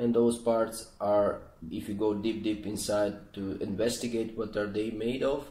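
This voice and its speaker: With a Croatian accent, the speaker uses monotone, flat intonation and a dark, mellow tone. Room echo is audible. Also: man. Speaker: spiritual channel host. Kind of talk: explanatory monologue. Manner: halting, many fillers and restarts.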